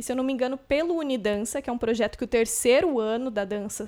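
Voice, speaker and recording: The recording is very clean with a silent background. Speech moves at a fairly quick pace with ordinary pitch variation. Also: woman. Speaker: podcast host, dancer. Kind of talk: casual podcast chat. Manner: energetic.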